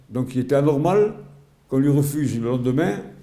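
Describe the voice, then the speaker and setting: There is audible room echo as a man speaks at a fairly quick pace in a medium pitch. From Algeria (Oran), pied-noir. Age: 80s+. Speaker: retired sports journalist and volunteer. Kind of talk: interview testimony. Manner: halting, many repetitions and hesitations.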